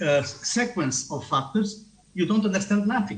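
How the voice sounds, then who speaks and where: A man with a non-native accent speaks in a high voice. Room echo is audible. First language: not English. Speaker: tourism researcher. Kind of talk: conference talk. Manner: halting.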